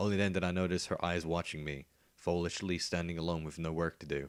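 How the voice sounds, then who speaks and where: Very deep, low pitch from a man in monotone, flat intonation at a fairly quick pace, on a very clean recording with a silent background. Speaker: audiobook narrator. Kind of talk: fan fiction story reading.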